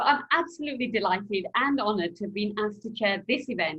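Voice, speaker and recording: The speaker has a Yorkshire accent. Pitch varies in an ordinary way. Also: woman. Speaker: journalist, webinar chair. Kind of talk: webinar moderation.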